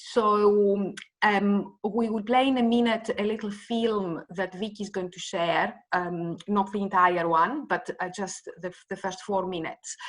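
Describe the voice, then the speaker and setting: A woman with a Greek accent speaks fairly slowly at a medium pitch, with fairly even intonation and hardly any pauses. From Greece. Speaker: event host. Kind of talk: event moderation. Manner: halting, many fillers.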